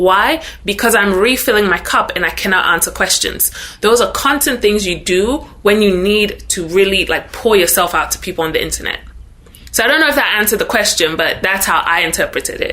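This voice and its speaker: A woman speaks with a Ghanaian accent at a fairly quick pace. There is noticeable background noise. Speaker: social media influencer. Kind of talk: interview podcast.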